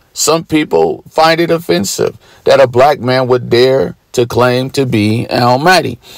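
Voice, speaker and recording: This man has an unremarkable speaking voice, pitched fairly high, with lively intonation. He keeps a moderate pace. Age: 40s. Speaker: religious preacher. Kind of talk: sermon. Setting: at home.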